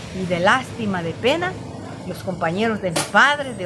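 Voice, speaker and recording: A woman's voice with very wide pitch swings and audible room echo. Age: 60s. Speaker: storyteller. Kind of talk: personal testimony. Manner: halting.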